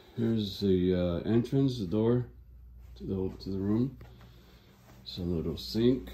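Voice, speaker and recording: A man speaks in a dark, mellow tone. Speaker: guest. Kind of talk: casual room tour narration. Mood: impressed, enthusiastic. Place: home room. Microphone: phone near.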